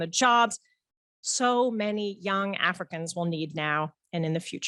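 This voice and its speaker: A woman with an American accent, a plain, everyday voice, medium pitch, lively intonation and a moderate pace, in a dry, close sound with no echo against a quiet background. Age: 40s. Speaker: conference organizer giving welcome speech. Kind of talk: welcome speech. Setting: conference hall with audience. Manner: formal.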